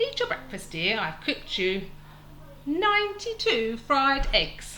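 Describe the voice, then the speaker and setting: A put-on character voice, female-sounding and high-pitched for a woman. It moves at a fairly slow pace over clear background noise. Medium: read story.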